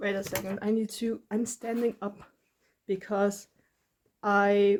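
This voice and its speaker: Her tone is dark and mellow. The woman has a non-native accent and speaks at a fairly slow pace. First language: not English. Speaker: art vlogger. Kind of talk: casual monologue. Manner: rambling, halting with fillers; stumbles over words.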